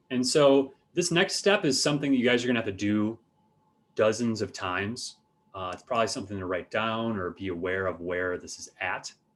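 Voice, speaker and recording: A man with a normal speaking voice talks at a medium pitch and fairly quick pace, with lively intonation. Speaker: university art instructor. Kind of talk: lecture. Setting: video call.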